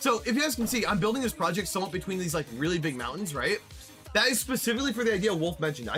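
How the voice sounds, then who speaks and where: Music plays in the background as a man talks at a very fast pace. His voice is high for a man and makes very wide pitch swings. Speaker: streamer. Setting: live stream while playing a building game. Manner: fast talker.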